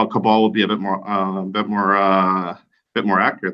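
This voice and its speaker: A man talks at a moderate speed, his fairly low voice rising and falling an ordinary amount. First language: not English. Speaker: podcast co-host. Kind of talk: casual chat.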